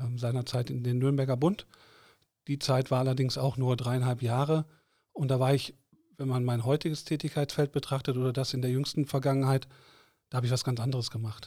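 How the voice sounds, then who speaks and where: In a very clean recording with a silent background, a man with a medium pitch and a dark, mellow tone speaks at a fairly quick pace, somewhat breathy and in a flat monotone, leaving long, frequent pauses. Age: 50s. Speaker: board member of a trade association. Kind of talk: interview. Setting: studio.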